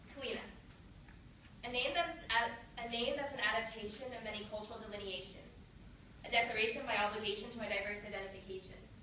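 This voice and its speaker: Over noticeable background noise, a woman speaks very quickly. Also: fairly high pitch for a woman, ordinary pitch variation, big swings in loudness. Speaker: college student. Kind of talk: poetry reading.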